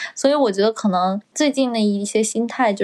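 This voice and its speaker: At a moderate pace, a woman with an ordinary speaking voice and a fairly high pitch speaks with fairly even intonation. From China. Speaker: podcast co-host, recent graduate. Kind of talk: casual chat. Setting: at home.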